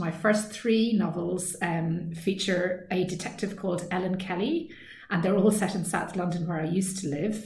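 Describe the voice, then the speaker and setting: Spoken in an Irish accent with hardly any pauses, the voice carries audible room echo over noticeable background noise. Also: woman. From west of Ireland. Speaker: author. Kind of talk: recorded author Q&A talk. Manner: hesitant, many ums.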